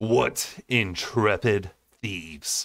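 A man uses a put-on character voice. It sits at a fairly low pitch. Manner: drawling, mocking.

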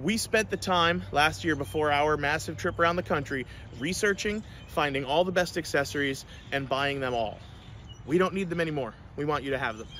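Lively intonation and a bright, sharp tone mark this man's fairly quick speech. The sound is dry with no echo, and there is light background noise. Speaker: RV seller. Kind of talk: sales walkthrough. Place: garden. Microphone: phone near.

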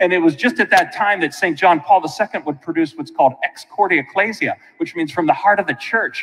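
Speaking at a fairly quick pace, a man with a high pitch shows ordinary pitch variation. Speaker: priest. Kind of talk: sermon. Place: church.

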